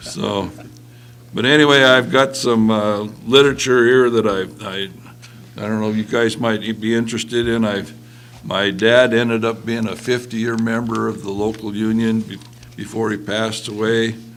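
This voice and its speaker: A man's medium-pitched voice with an American accent, flat monotone intonation and audible room echo. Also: moderate pace. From western Montana. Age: 70s. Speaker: retired mill worker and union member. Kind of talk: panel discussion. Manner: halting.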